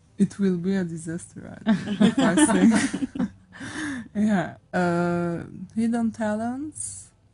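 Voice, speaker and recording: The speaker has an Armenian accent and talks at a very slow pace with ordinary pitch variation. Music plays in the background. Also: woman, long, frequent pauses. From Syria, Aleppo. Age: 20s. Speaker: radio guest. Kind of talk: casual interview. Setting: radio studio. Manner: halting, many fillers.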